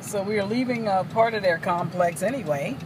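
With noticeable background noise but a dry sound with no echo, a woman speaks at a fairly slow pace and with ordinary pitch variation. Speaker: travel vlogger. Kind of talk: casual vlog chat. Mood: light, joking. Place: car. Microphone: phone near.

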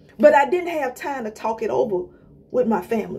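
A woman's high voice with very wide pitch swings at a moderate pace. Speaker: inspirational vlogger. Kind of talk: motivational talk. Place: home room. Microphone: phone near.

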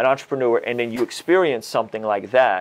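Lively intonation runs through this man's speech. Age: 30s. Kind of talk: casual interview chat. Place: studio. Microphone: lapel.

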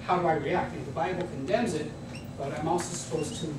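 The voice belongs to a man. Noticeable background noise and audible room echo surround it. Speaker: guest. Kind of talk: lecture. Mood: humorous, engaged. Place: classroom. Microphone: camera far.

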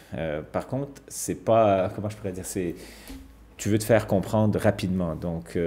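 A man with a very deep, low pitch and ordinary pitch variation at a fairly quick pace, with faint music in the background. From Quebec. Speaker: ice hockey coach. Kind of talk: TV sports interview. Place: studio.

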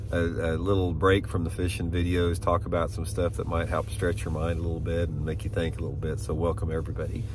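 Over noticeable background noise, a man with a very deep, low pitch speaks at a very fast pace with hardly any pauses and ordinary pitch variation, in a dry sound with no echo. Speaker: fishing channel host. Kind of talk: casual vlog chat. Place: car. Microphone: phone near.

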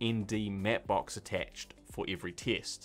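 Faint music plays in the background as a man with a fairly low pitch speaks at a very slow pace. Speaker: filmmaker YouTuber. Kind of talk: tutorial. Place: studio.

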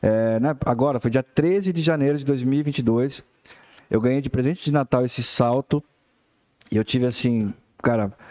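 A man with a dark, mellow tone talks at a moderate pace with ordinary pitch variation and long, frequent pauses, over a quiet background. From Brazil. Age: 40s. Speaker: bassist; guest. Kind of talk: casual chat. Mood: relaxed, humorous chat. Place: studio. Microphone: studio mic.

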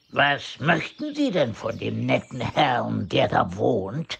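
A man's put-on character voice at a very slow pace. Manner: pompous, sarcastic.

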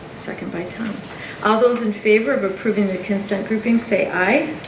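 Over noticeable background noise and audible room echo, a woman speaks at a fairly high pitch with ordinary pitch variation. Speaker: school board chair. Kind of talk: public meeting. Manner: hesitant, many fillers.

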